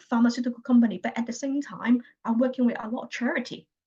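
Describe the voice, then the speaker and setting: A woman speaks at a high pitch with a Chinese accent. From China. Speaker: healthcare analytics consultant. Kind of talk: interview. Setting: video call. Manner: halting, with many repetitions.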